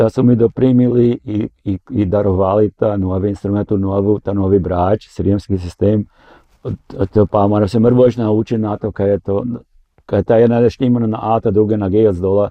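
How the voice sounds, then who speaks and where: A man's fairly low voice moves at a moderate pace in monotone, flat intonation. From Burgenland, Austria (Croatian village). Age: 70s. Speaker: retired teacher and church musician. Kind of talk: interview.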